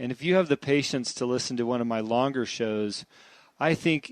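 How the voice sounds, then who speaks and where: A man speaks with a plain, everyday voice at medium pitch. His pace is moderate and the background is quiet. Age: 50s. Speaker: podcast host. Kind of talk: interview intro and conversation. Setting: at guest's house.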